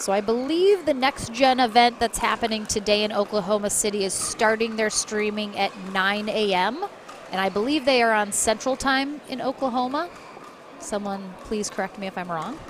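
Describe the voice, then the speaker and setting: A woman with a Michigan accent talks at a fairly high pitch. Noticeable background noise runs under her voice. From US Midwest, Michigan. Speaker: sports commentator. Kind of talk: live commentary.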